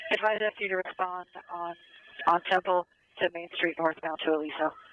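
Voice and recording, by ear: Fairly quick speech with fairly even intonation in a dry, close sound with no echo. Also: man, high pitch for a man.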